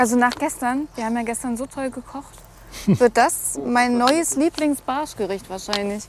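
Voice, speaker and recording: Over noticeable background noise, a woman with a high pitch talks at a moderate pace, using ordinary pitch variation and big swings in loudness. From Thuringia, Germany (near Nordhausen, southern Harz). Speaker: angler. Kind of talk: casual chat. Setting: outdoors.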